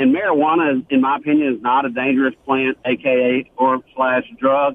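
This man has a Southern US accent. His voice is fairly high, with fairly even intonation. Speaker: caller. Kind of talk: call-in radio chat. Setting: phone call.

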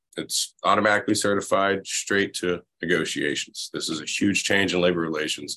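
Against a quiet background, a man with an American accent speaks at a fairly quick pace with hardly any pauses. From US South, Florida Panhandle. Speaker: labor organizer. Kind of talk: casual chat. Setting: video call.

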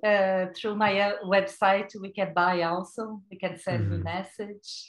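A woman speaks in a Brazilian Portuguese accent. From Brazil, rural São Paulo. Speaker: vegan chef and cookbook author. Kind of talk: casual interview chat.

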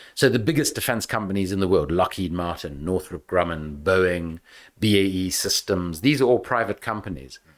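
A man with a South African accent speaks in a very deep, low pitch. His intonation is lively, and the recording is very clean with a silent background. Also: moderate pace. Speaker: author and political campaigner on the arms trade. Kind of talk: podcast interview.

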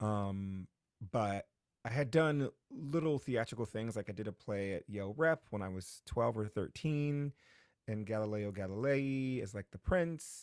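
A man with an American accent talks in an ordinary speaking voice at a fairly low pitch, with lively intonation and a fairly slow pace. The recording is very clean, with a silent background and a dry, close sound with no echo. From New Haven, Connecticut. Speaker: actor and playwright. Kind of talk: interview.

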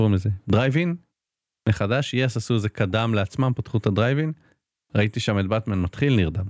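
A man's fairly low-pitched voice with ordinary pitch variation and very even loudness, dry and close with no echo, on a very clean recording with a silent background. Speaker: tech journalist, co-host. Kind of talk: casual chat. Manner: halting, many fillers.

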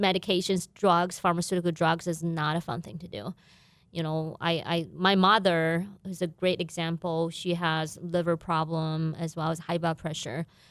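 A woman with a Chinese accent talks at a fairly low pitch and a moderate pace with fairly even intonation, on a very clean recording with a silent background. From China, Guizhou province. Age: 40s. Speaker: business owner. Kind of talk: interview. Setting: studio.

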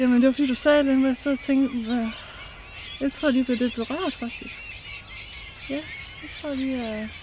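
Over noticeable background noise, a woman with a high pitch talks at a moderate pace with fairly even intonation and long, frequent pauses. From Denmark, eastern Jutland (Brejning Strand). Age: 40s. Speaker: mental health ambassador. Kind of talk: personal testimony. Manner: halting.

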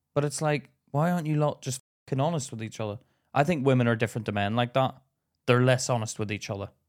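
A man speaks very fast with an English accent. His pitch is medium with ordinary variation. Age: 30s. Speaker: podcast co-host, comedian. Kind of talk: casual chat.

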